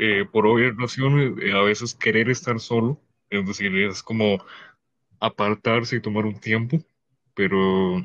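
A man at a fairly slow pace with ordinary pitch variation, in a dry, close sound with no echo. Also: medium pitch for a man, very even loudness. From Cayman Islands. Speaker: streamer and podcast guest. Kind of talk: casual chat. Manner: loud.

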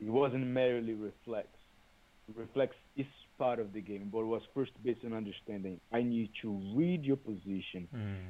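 With a Brazilian accent, a man talks at medium pitch with ordinary pitch variation. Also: moderate pace. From Brazil, Salvador, Bahia. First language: Portuguese. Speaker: capoeira teacher. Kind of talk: interview.

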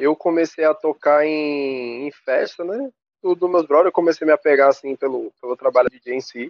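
With an ordinary speaking voice, a man talks fairly high in pitch, his intonation moving in a normal way. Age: 20s. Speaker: DJ. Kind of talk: casual interview.

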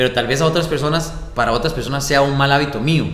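A man with a Costa Rican accent talks in a fairly high pitch. Audible room echo and noticeable background noise come through. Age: 20s. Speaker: radio announcer and youth ministry coordinator. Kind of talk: casual interview chat. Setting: parish office room with small audience.

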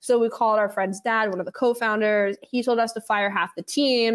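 Recorded very cleanly over silence, a woman with a normal speaking voice talks at a fairly quick pace, fairly high in pitch and fairly even in intonation. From New York City, West Village. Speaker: venture capital fund founder. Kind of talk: interview.

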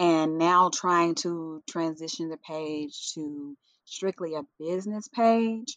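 A woman with a Southern US accent, fairly low in pitch, in a dry, close sound with no echo. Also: quiet background. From US South, western Tennessee. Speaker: natural hair influencer and brand founder. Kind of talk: casual interview.

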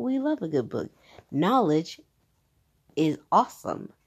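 Loud and animated, a woman speaks at a fairly slow pace with very wide pitch swings against a quiet background. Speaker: podcast host. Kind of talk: casual monologue.

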